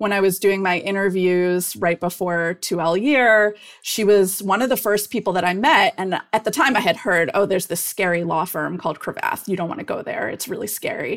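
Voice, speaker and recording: With an American accent and an unremarkable speaking voice, a woman talks at a moderate pace and medium pitch, with ordinary pitch variation and hardly any pauses. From US Midwest, Cleveland, Ohio. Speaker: corporate lawyer, guest. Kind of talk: interview.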